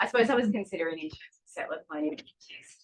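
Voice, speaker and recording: A woman talks at a fairly quick pace. She has a strong Australian accent. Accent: broad Australian. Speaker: conference participant. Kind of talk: panel discussion.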